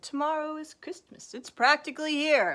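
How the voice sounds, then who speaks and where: A woman's put-on character voice, high-pitched and growling, with ordinary pitch variation at a moderate pace. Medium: read story. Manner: snarling, sneering.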